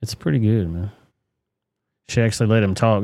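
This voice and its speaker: In a Southern US accent, a man speaks with a fairly low pitch and a dark, mellow tone on a very clean recording with a silent background. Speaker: livestream commentary host. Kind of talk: casual live commentary. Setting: livestream. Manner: animated.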